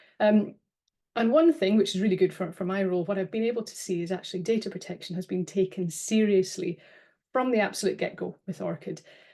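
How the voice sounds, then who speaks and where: Speaking at a very fast pace, a woman with a British accent has a dark, mellow tone, medium pitch and ordinary pitch variation. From UK. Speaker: data protection officer. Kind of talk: webinar presentation. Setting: online webinar. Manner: hesitant, with fillers and repeats.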